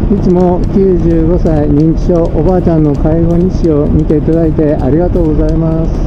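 With noticeable background noise behind him, a man speaks with hardly any pauses. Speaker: dental technician and home caregiver. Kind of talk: casual vlog talk to camera. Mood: cheerful, reflective. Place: motorbike. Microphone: helmet.

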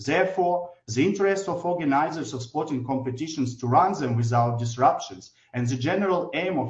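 Against a quiet background, a man talks at a fairly quick pace with lively intonation and a somewhat breathy quality. Audible room echo surrounds his voice. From Ukraine. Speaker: government minister. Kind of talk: formal prepared speech. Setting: remote video link. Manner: formal. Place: office. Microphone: video call.

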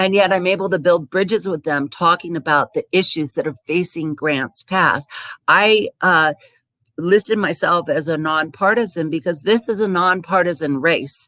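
A woman's fairly low-pitched voice with a bright, sharp tone, moderate pace and ordinary pitch variation, in a dry, close sound with no echo. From US West Coast. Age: 60s. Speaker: city council candidate. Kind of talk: candidate forum speech. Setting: public forum.

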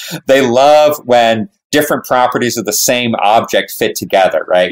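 With an ordinary speaking voice, a man talks at a fairly quick pace. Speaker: professor. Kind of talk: casual chat.

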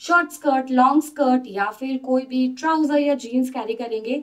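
A woman talks at a moderate pace with a high pitch. Her intonation is fairly even, and the background is quiet. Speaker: fashion vlogger. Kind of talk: casual haul presentation. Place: home room. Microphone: phone near.

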